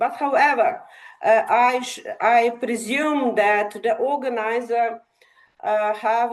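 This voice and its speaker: A woman with a Slovenian accent speaks at a fairly slow pace. Her voice is fairly high, with ordinary pitch variation. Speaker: academic session chair. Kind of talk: conference presentation. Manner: halting, many fillers.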